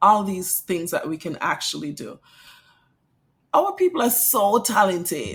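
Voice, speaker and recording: A woman with a Kittitian accent talks at a medium pitch and a fairly slow pace, somewhat breathy, with lively intonation. Her loudness swings widely, and she leaves long, frequent pauses. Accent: Caribbean (St. Kitts). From St. Kitts and St. Thomas, Caribbean. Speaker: English teacher and author. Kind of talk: podcast interview.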